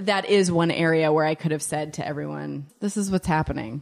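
Speaking at a fairly quick pace, a woman with an American accent has a very deep, low pitch, heard in a very clean recording over a silent background. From Pittsburgh, Pennsylvania. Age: 30s. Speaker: children's author and copywriter. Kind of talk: casual interview conversation. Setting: around a kitchen table. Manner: animated.

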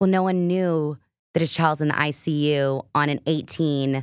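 On a very clean recording with a silent background, a woman with a very deep, low pitch speaks at a moderate pace. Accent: American. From Texas. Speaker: actress and producer. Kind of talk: casual chat. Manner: loud, projected; animated.

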